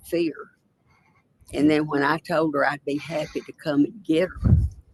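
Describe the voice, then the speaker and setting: Dry and close with no echo, a woman speaks in a very deep, low pitch with a Tennessee accent and fairly even intonation. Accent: Tennessee Southern. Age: 80s+. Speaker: witness. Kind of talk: court testimony. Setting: courtroom.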